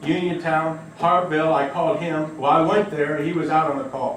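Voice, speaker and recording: The speaker is a man with an American accent. His fairly high voice carries audible room echo. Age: 50s. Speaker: resident speaking at public comment. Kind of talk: public comment at council meeting. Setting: village council meeting. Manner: halting, repetitive.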